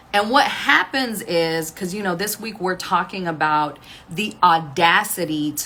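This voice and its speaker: Over noticeable background noise, a woman talks in an animated tone with ordinary pitch variation. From Texas, Waco. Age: 40s. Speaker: online business and music coach. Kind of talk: casual livestream talk while getting ready. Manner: conversational, animated.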